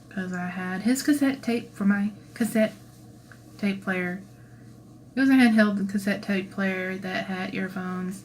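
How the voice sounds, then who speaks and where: With fairly even intonation and a somewhat breathy quality, a woman at medium pitch talks at a fairly slow pace with long, frequent pauses. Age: 30s. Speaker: cosplayer and channel creator. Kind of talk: livestream Q&A. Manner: casual, chatty.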